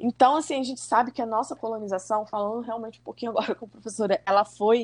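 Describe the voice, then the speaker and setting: This woman has an ordinary speaking voice. It sits fairly high in pitch, with ordinary pitch variation. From Brazil, Rio de Janeiro state (Macaé). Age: 30s. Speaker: schoolteacher. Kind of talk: casual interview.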